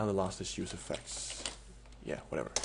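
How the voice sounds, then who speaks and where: A man talks at a fairly quick pace while noticeable background noise continues. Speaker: game modding tutorial maker. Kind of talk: tutorial. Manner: fast; halting, many fillers.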